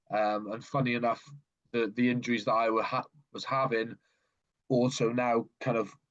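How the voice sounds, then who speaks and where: With a South Welsh accent, a man talks at a medium pitch in a monotone, flat delivery broken by long, frequent pauses. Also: moderate pace. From South Wales (Swansea, Gower). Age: 30s. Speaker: natural bodybuilder. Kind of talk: podcast interview. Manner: halting, many fillers and repeats.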